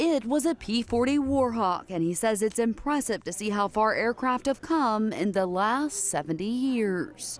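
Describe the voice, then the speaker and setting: A fairly high-pitched woman with a plain, everyday voice at a fairly slow pace. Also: lively intonation. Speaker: TV news reporter. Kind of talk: TV news report.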